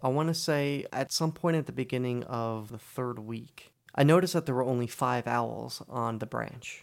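Moderately paced with hardly any pauses, a man with an American accent uses ordinary pitch variation in an ordinary speaking voice. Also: medium pitch for a man. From New Jersey. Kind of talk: scripted narration.

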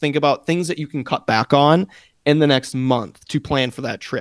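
This man has an unremarkable speaking voice, fairly high in pitch, with ordinary pitch variation at a moderate pace. The recording is very clean with a silent background and a dry, close sound with no echo. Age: 20s. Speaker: podcast co-host. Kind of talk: casual chat.

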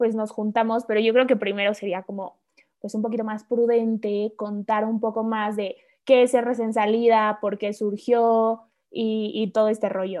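Her intonation monotone and flat, a woman talks in a fairly high pitch. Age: 20s. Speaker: podcast co-host, university student. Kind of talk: casual chat.

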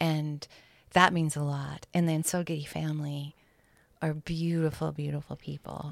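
On a very clean recording with a silent background, a woman with an American accent speaks at a moderate pace with a very deep, low pitch and monotone, flat intonation. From Montana, US (Bozeman). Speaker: artist and sculptor. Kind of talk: casual interview chat.

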